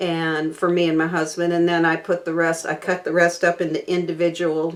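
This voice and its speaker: A woman with an American accent speaks at a fairly low pitch. Noticeable background noise runs underneath. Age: 60s. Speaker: cooking channel host. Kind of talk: casual chat to camera. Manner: halting, many fillers.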